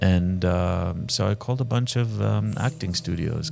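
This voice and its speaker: With lively intonation, a man keeps a moderate pace while noticeable background noise runs beneath him. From Lebanon (Saida). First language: Arabic. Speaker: film director and actor. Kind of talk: interview conversation. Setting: venue during a film screening.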